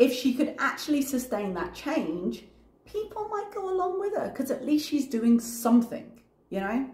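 Audible room echo follows a woman speaking at a moderate pace with very wide pitch swings. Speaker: YouTube reaction commentator; reaction video creator. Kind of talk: commentary vlog. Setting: home recording late at night. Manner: articulate. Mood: earnest, opinionated.

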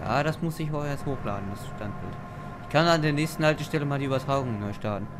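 Music plays behind a man talking at a very fast pace. His pitch is fairly high and varies in an ordinary way. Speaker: gamer / let's play host. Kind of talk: casual chat while gaming. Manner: playful, joking.

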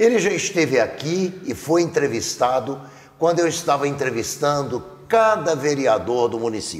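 At a moderate pace, a man speaks in a normal speaking voice with lively intonation and a fairly high pitch. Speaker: TV interviewer. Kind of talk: TV interview. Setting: studio. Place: studio. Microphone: lapel.

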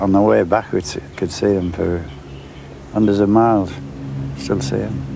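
Over faint background noise, a man with a fairly low pitch and vocal fry talks at a moderate pace in a dark, mellow tone with fairly even intonation.

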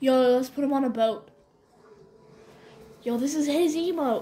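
A woman's high voice at a moderate pace, with fairly even intonation and light background noise. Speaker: gamer filming the screen. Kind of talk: casual vlog chat. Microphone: phone near.

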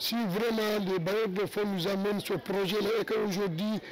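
A man with a high pitch talks at a fairly slow pace in a dry recording with no echo and noticeable background noise. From Senegal. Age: 60s. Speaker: neighbourhood elder. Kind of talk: news interview. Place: street. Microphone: handheld.

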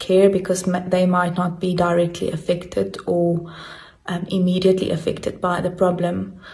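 Flat and monotone, a woman speaks. Her pace is moderate. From South Africa. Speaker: biology teacher. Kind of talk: interview answer. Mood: calm, concerned. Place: home room. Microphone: phone near.

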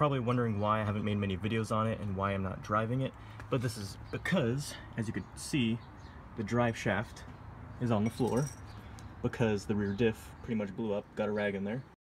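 Somewhat breathy and fairly quick, this voice carries an American accent and fairly even intonation. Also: man, fairly low pitch for a man. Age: 20s. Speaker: car enthusiast vlogger. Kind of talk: casual walkaround video. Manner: casual, halting with fillers.

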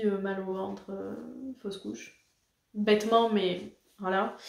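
In a dark, mellow tone, a woman speaks with monotone, flat intonation amid audible room echo. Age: 20s. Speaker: YouTuber. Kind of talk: casual talk to camera. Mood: calm, reflective, somewhat emotional. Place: home room. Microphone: camera far.

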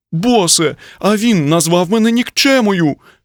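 A man's put-on character voice, high-pitched and whiny, with lively intonation at a moderate pace, dry and close with no echo, in a very clean recording against a silent background. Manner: whining, sniffling.

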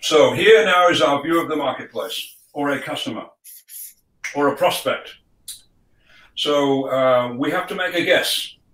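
A man's fairly high voice at a fairly slow pace, with ordinary pitch variation, long, frequent pauses and audible room echo. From UK. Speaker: sales trainer and author; sales trainer. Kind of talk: business talk. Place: home room.

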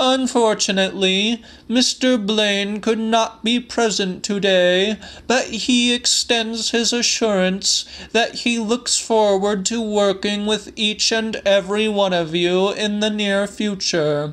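In a put-on character voice with a high pitch, a man speaks at a fairly slow pace with fairly even intonation and very even loudness over light background noise. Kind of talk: formal corporate announcement. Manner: stern, officious.

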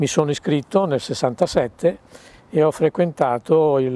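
At a fairly slow pace, a man speaks with a fairly high pitch, a dark, mellow tone and ordinary pitch variation, in a dry sound with no echo. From northern Italy, Varese; northern Italy. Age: 70s. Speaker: retired military pilot; interviewee. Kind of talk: interview recollections; interview answer. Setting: museum. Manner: halting, many repetitions and fillers. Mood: calm reminiscing, hesitant fillers. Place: street.

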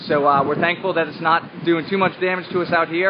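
Over faint background noise, a man talks at a fast pace in a fairly high pitch with fairly even intonation.

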